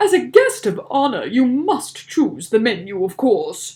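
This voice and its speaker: Someone puts on a character voice with a high pitch and very wide pitch swings, talking at a fairly slow pace. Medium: read story. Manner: loud, blustering.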